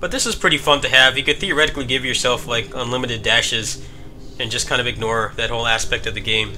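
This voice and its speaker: Music plays in the background while a man speaks very fast. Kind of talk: casual gameplay commentary.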